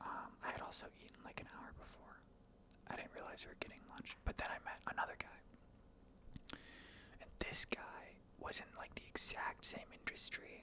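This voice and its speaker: A man whispers at a moderate pace, with long, frequent pauses and big swings in loudness. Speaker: accounting intern and student. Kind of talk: ASMR ramble, casual talk to camera. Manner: soft-spoken, whispered.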